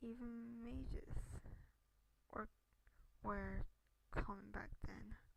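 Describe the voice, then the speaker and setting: This soft-spoken voice moves at a very slow pace. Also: woman. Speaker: gamer reading a game aloud. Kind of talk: reading game dialogue aloud. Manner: quiet, soft.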